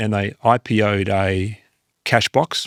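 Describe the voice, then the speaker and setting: Here a man with an Australian accent speaks at a fairly slow pace and medium pitch. The recording is very clean with a silent background, and the sound is dry and close with no echo. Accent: Australian, sometimes taken for British. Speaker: investment firm founder and CEO. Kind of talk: podcast interview. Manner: hesitant, many fillers and repeated words.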